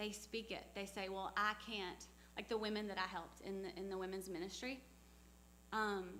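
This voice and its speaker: With audible room echo, a woman speaks at a medium pitch and moderate pace in a monotone, flat intonation. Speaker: missionary speaker. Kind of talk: church talk with Q&A.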